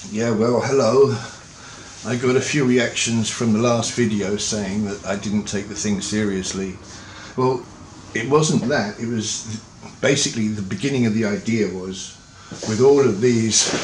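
Noticeable background noise sits behind a man talking at a fairly slow pace. His pitch varies in an ordinary way. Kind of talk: casual vlog chat. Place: home room. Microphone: webcam.

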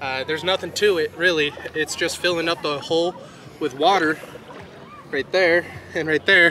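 The speaker uses fairly even intonation with long, frequent pauses, over light background noise. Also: man, high pitch for a man, moderate pace, dry sound with no echo. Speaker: RC hobby video host. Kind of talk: casual vlog with product demo. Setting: outdoors at a lake. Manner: casual, frequent filler words. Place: waterside.

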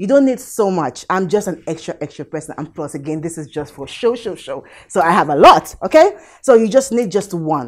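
Against a quiet background, a woman talks. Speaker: show host. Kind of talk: tutorial. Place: kitchen.

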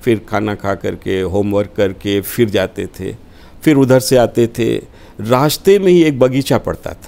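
A man's dark, mellow voice at a very slow pace, with lively intonation and big swings in loudness. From Uttar Pradesh, Varanasi; Uttar Pradesh. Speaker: politician and party spokesperson; guest. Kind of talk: interview. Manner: formal. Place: studio. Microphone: lapel.

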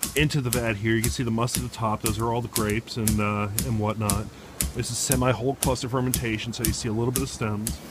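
A man at a very fast pace, with ordinary pitch variation, a dry sound with no echo and noticeable background noise. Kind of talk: casual vlog chat. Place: factory. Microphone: phone near.

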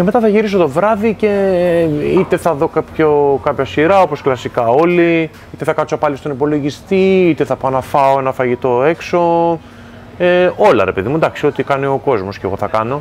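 Light background noise beneath a man's moderately paced speech. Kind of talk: interview answer. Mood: relaxed, calm. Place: home room. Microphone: lapel.

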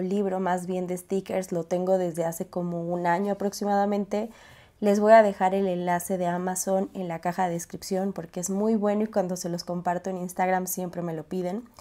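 In a very clean recording with a silent background, a woman of medium pitch speaks at a moderate pace with monotone, flat intonation and hardly any pauses. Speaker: YouTuber, organization and planning channel. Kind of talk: tutorial vlog. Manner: casual, with hesitations.

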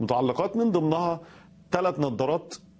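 A man's fairly quick speech with lively intonation. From Egypt. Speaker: political activist; news guest commentator. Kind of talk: TV news interview commentary. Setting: remote link via satellite. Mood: sarcastic, critical. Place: studio.

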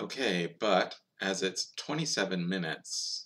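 Very slowly, a man speaks with a very deep, low pitch. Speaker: youtuber. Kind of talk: casual talk to camera. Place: home room. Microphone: webcam.

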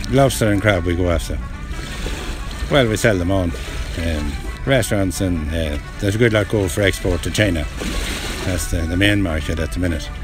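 Over clear music in the background, a man with a very deep, low pitch speaks at a fairly quick pace. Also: dry sound with no echo. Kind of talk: interview answer. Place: beach.

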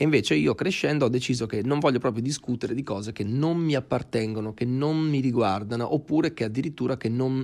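A man's pitch varies in an ordinary way as he races along at a very fast pace. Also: medium pitch for a man, hardly any pauses. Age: 20s. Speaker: actor and musician. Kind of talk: casual interview.

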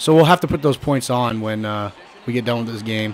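A man is heard over noticeable background noise. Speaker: gaming video creator. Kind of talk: gameplay commentary. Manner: casual, filler-heavy.

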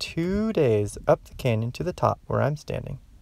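The recording is dry with no echo as a man speaks at a moderate pace. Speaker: garden educator. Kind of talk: educational lesson for children. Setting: outdoors. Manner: calm, gentle. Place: open country. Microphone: phone near.

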